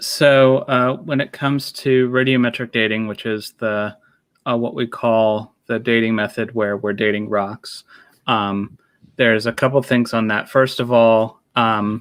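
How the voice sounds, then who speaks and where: In a very clean recording with a silent background, a man mumbles at a fairly slow pace, using a medium pitch and fairly even intonation. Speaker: nuclear engineer. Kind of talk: casual discussion. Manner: mumbling.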